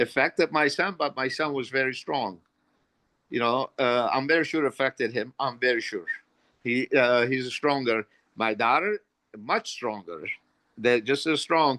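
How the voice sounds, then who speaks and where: Speaking at a moderate pace with long, frequent pauses, a man has a medium pitch, ordinary pitch variation and a bright, sharp tone, recorded with a dry, close sound and no echo. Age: 60s. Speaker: parent of a psychiatric patient. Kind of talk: virtual conference discussion. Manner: halting; passionate.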